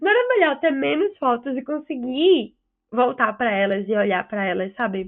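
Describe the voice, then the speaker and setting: In a Recife accent, a woman speaks with very wide pitch swings. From Recife, northeast Brazil. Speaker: podcast co-host. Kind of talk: casual chat. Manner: very fast. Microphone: choppy internet connection.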